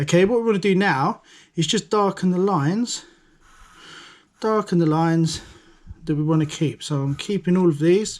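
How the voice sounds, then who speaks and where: A man with a high pitch talks at a moderate pace, leaving long, frequent pauses. The recording is very clean, with a silent background. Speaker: design and technology teacher. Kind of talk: tutorial. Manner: monotone.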